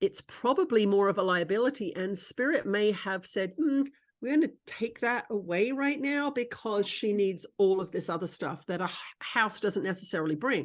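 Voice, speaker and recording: With a normal speaking voice, a woman talks at a moderate pace in a fairly high pitch with lively intonation against a quiet background. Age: 60s. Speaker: spiritual teacher and channeler. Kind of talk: casual chat.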